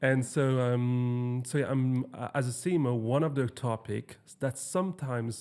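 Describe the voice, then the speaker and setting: Speaking at a fairly slow pace with hardly any pauses, a man talks with a French accent. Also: medium pitch for a man, fairly even intonation. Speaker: podcast host. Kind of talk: podcast interview. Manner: halting.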